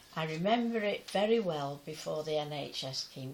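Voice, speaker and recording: With an English accent, a woman talks at a very slow pace using lively intonation. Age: 90s. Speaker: pensioner sharing memories. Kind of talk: personal testimony. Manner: halting.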